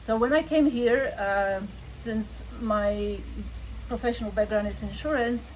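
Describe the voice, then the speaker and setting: Amid noticeable background noise, a woman with a Polish accent speaks at a fairly slow pace. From Poland. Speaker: insurance agent. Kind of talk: interview.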